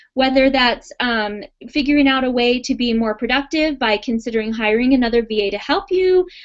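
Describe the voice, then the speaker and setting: A woman speaks with a high pitch. Her intonation is lively. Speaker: virtual assistant business coach. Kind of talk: webinar class with live Q&A. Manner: fast; animated.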